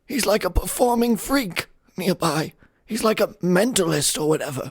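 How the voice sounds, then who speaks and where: A man's high-pitched, put-on character voice on a very clean recording with a silent background. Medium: actual play. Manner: stammering, fearful.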